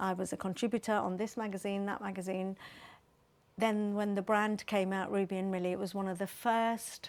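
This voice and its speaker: A woman talks at a fairly quick pace and medium pitch in a monotone, flat intonation. The recording is very clean, with a silent background. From Nigeria. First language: Bengali. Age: 60s. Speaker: make-up artist and beauty entrepreneur. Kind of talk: interview.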